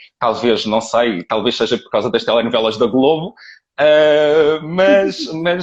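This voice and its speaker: A man speaks in a European Portuguese accent with lively intonation at medium pitch. The background is quiet. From Portugal. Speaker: live stream host, dog owner. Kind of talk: live interview. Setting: live video call.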